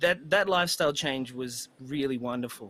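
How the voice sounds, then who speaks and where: On a very clean recording with a silent background, a man is heard. He speaks at a moderate pace, and his pitch varies in an ordinary way. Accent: Australian. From Australia, country New South Wales. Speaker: musician. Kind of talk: casual chat.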